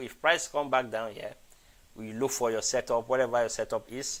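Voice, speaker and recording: A man's normal speaking voice at medium pitch, with fairly even intonation. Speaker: forex trading educator. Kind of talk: live trading analysis stream. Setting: live stream.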